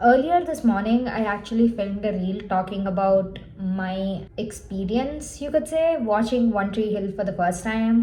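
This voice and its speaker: A woman speaks fairly slowly in a space with audible room echo and noticeable background noise. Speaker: book vlogger. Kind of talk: casual vlog. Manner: casual, filler-heavy.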